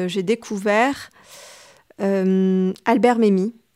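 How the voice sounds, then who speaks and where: Medium pitch from a woman, ordinary pitch variation, a dry, close sound with no echo, and a very clean recording with a silent background. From Tunisia, Tunis. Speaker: novelist and literature teacher. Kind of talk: interview. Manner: halting, many hesitations.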